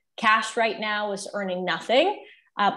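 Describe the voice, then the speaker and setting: Bright and sharp in tone, a woman's voice holds a monotone, flat intonation. She keeps a moderate pace against a quiet background. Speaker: wealth manager. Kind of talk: panel discussion. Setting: video call. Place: home room. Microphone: earbuds.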